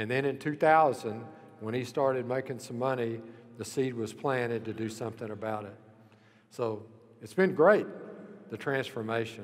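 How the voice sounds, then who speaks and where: A man with an American accent at a moderate pace, medium pitch and fairly even intonation, with audible room echo and music in the background. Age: 70s. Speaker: university leader and former golf coach. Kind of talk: memorial speech.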